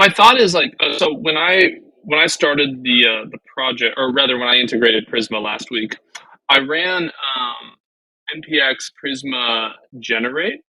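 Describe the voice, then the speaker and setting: A man's bright, sharp voice, fairly high in pitch, at a moderate pace with ordinary pitch variation. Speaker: web developer co-hosting a learning stream. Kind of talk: casual live coding session. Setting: live stream. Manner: mumbling while thinking.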